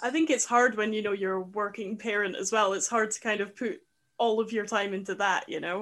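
Against a quiet background, someone speaks with a Scottish accent at a fairly quick pace. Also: woman, fairly high pitch for a woman, ordinary pitch variation. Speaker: podcast host. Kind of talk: interview.

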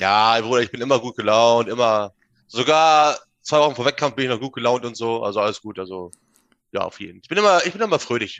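Here a man talks at a very fast pace in a medium pitch with ordinary pitch variation. The background is quiet. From northern Germany, Minden/Bückeburg area. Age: 20s. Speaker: bodybuilder, gym owner. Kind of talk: casual chat. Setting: remote call. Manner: animated, halting.

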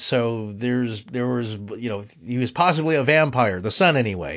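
A man with an unremarkable speaking voice at medium pitch. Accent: American. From US Pacific Northwest, Spokane area. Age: 50s. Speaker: podcaster. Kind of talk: casual interview conversation.

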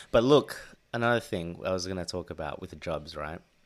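A man with an Australian accent talks at a fairly quick pace in a very deep, low pitch with ordinary pitch variation. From Sydney, Australia. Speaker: podcast host. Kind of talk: casual chat. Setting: home recording, laptop speakers.

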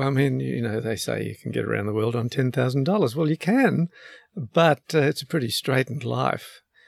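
In an Australian accent, a man talks at a moderate pace on a very clean recording with a silent background. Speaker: retired lawyer and long-distance sailor. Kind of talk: interview. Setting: on his boat. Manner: hesitant, many fillers.

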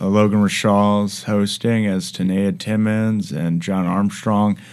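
A man's fairly low voice, with ordinary pitch variation, at a fairly slow pace over noticeable background noise. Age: 20s. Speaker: podcast host and comedian. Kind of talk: casual chat. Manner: hesitant, many fillers.

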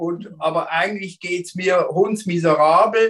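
A man with high pitch, talking at a very slow pace. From Switzerland, Basel. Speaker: therapist. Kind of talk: interview.

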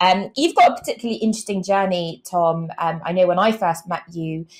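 Very clean recording, silent background, with a woman speaking in a normal speaking voice. Her pitch is fairly low, her pace fairly quick, her intonation fairly even. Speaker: podcast host. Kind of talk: casual interview conversation.

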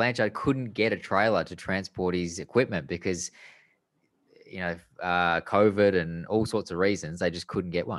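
In an Australian accent, a man speaks at a very deep, low pitch against a quiet background. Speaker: podcast co-host and former racing driver. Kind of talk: casual chat.

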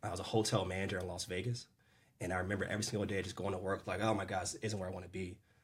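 The man's voice comes across as somewhat breathy, with monotone, flat intonation. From US Mid-Atlantic, Maryland. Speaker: sales coach. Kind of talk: casual interview chat.

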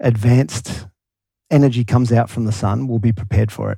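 With an Australian accent, a man of medium pitch speaks at a moderate pace in a somewhat breathy, dark, mellow tone. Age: 40s. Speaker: guest entrepreneur. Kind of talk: casual interview chat.

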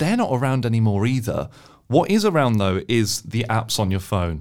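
Recorded very cleanly with a silent background, a man with a British accent speaks at a fairly quick pace and a medium pitch. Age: 20s. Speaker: money-saving deals expert. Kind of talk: casual interview.

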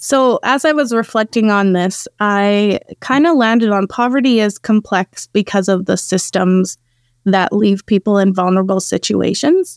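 In a Canadian accent, an ordinary speaking voice moves at a moderate pace with ordinary pitch variation on a very clean recording with a silent background. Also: woman, medium pitch for a woman. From Saskatchewan, Canada. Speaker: executive director of an anti-trafficking charity. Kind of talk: podcast interview.

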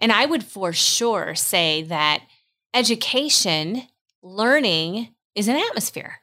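A woman's bright, sharp voice with an American accent, fairly high in pitch, with very wide pitch swings at a very slow pace. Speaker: homeschooling mother. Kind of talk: casual chat.

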